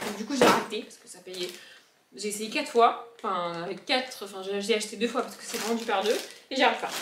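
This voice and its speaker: A woman with a southern French accent at a fairly high pitch, fairly quick pace and ordinary pitch variation, with long, frequent pauses, big swings in loudness, audible room echo and noticeable background noise. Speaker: vlogger. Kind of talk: casual vlog chat. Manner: animated.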